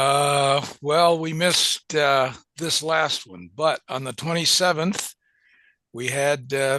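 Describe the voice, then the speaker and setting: Against a quiet background, a man with a bright, sharp tone and a fairly high pitch speaks at a very slow pace with ordinary pitch variation. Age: 70s. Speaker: amateur radio operator, club member. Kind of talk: casual chat.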